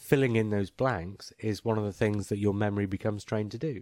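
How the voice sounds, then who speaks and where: Recorded very cleanly against a silent background, a man with an English accent speaks at a fairly quick pace in a fairly low, dark, mellow tone, the sound dry and close with no echo. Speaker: podcast host. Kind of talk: casual chat.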